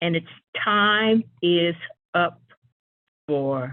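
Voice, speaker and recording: With ordinary pitch variation, a woman speaks in an American accent. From Utah (Ogden). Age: 70s. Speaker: public commenter. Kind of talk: public comment.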